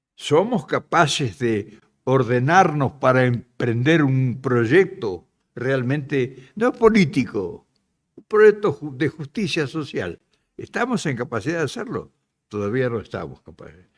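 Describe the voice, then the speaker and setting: Speaking fairly slowly at a medium pitch, a man makes very wide pitch swings and big swings in loudness. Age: 80s+. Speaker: political activist and speaker. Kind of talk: speech to an audience.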